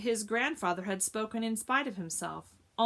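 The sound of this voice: With ordinary pitch variation, this is an unforced reading voice.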